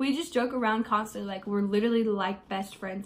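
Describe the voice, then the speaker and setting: A woman with an American accent speaks at a fairly quick pace, her somewhat breathy voice keeping fairly even intonation. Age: 20s. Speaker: beauty vlogger. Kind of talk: get ready with me Q&A. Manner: casual, hesitant with many fillers.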